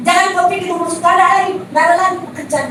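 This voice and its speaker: A woman speaks over noticeable background noise. Audible room echo surrounds her voice. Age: 60s. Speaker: preacher. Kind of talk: sermon. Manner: conversational, addresses congregation directly.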